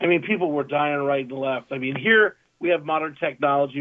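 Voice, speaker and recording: A plain, everyday voice in an American accent, fairly quick in pace with fairly even intonation. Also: man. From Southern California. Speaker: sports talk co-host. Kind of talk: casual chat.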